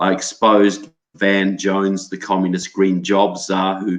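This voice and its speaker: A man with a New Zealand accent, fairly low pitch and a fairly slow pace. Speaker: political researcher and author. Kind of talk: interview.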